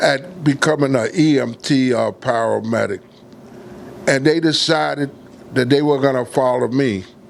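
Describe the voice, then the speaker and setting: A man speaks with an American accent at a fairly slow pace. His pitch varies in an ordinary way amid noticeable background noise. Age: 70s. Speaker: volunteer ambulance corps commander. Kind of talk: personal testimony.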